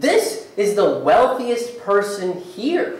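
A man's high voice with very wide pitch swings, at a slow pace, in strong room echo.

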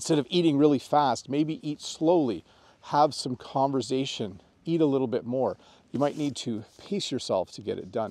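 A man talks at a moderate pace with fairly high pitch and ordinary pitch variation. His tone is dark and mellow, and the sound is dry with no echo. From Canada. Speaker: English teacher. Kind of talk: tutorial. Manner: casual, friendly. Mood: friendly, relaxed. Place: open country. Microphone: lapel.

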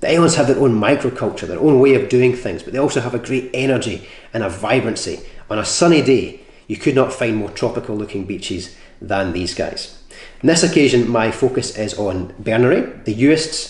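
A man talks at a fairly quick pace in a somewhat breathy voice. Audible room echo surrounds the recording. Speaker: presenter. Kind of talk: scripted travel presentation. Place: home room.

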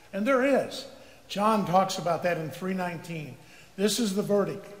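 A man talks at a fairly slow pace with a high pitch and ordinary pitch variation. Audible room echo surrounds him. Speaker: preacher. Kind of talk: sermon. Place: church.

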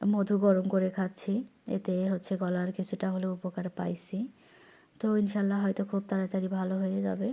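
With monotone, flat intonation, the speaker's tone comes across as dark and mellow. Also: woman, medium pitch for a woman. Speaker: vlogger. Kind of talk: casual vlog monologue, garden tour.

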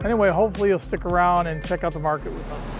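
Clear music plays behind a man speaking at a high pitch. His intonation stays fairly even, and the sound is dry with no echo. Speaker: travel vlogger. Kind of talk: casual vlog chat. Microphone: phone near.

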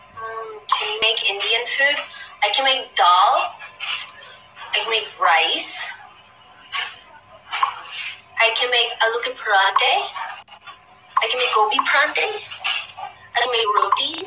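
With music in the background, a woman speaks in a high pitch at a fairly slow pace, leaving long, frequent pauses. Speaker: live-stream host. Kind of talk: casual chat answering viewer questions. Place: home room. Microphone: phone near.

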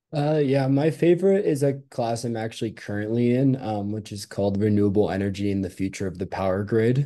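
A man's plain, everyday voice, fairly quick and lively in intonation. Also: medium pitch for a man. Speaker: graduate student. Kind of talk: student panel answers.

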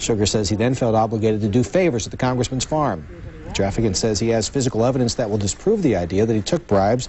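The man's pace is very fast. Noticeable background noise runs beneath him. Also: medium pitch for a man, ordinary pitch variation. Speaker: local TV news anchor. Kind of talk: news reading. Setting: studio.

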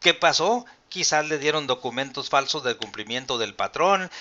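At a moderate pace, a man speaks with a Mexican accent. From Mexico. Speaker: pension advisor and channel host. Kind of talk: live-stream Q&A and explainer. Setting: live video stream. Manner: formal. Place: home room.

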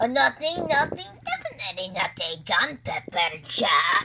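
Over noticeable background noise, a female-sounding, put-on character voice speaks fairly high and at a fairly slow pace. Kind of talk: playful casual chat. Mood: playful, joking.

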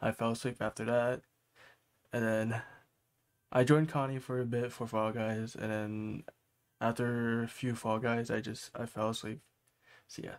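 A soft-spoken man's voice at a medium pitch, monotone and flat in intonation, with long, frequent pauses. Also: moderate pace, very clean recording, silent background. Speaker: livestreamer. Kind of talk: casual chat. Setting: live stream at home at night. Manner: soft-spoken, keeping voice down; halting, repeats words.

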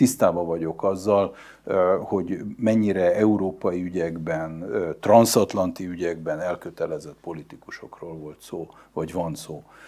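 A man's very deep, low voice, dark and mellow in tone, at a fairly slow pace. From Hungary. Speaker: diplomat; interview guest. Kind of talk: interview. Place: studio. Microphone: lapel.

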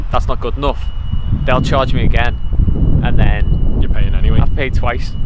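A man at a moderate pace, dry with no echo, over loud background noise. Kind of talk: casual review chat. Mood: relaxed, wry. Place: street.

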